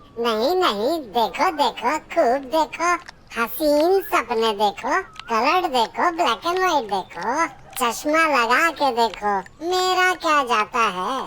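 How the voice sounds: A woman does a cartoonish character voice, high-pitched with very wide pitch swings at a very slow pace, over clear background noise.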